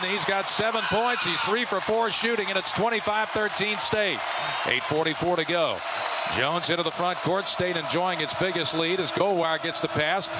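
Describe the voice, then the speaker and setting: Amid noticeable background noise, a man with a high voice speaks in an animated tone, his loudness very even and his pitch varying in an ordinary way. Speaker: radio play-by-play announcer. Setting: arena broadcast, radio. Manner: fast-paced and animated, clipped play-by-play delivery that rises with big shots; fluent, steady rhythm naming players and court positions.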